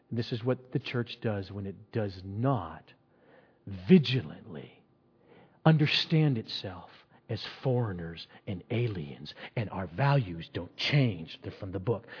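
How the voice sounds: His intonation is lively, his pace slow. The man's voice sits fairly low, with a husky, rough edge.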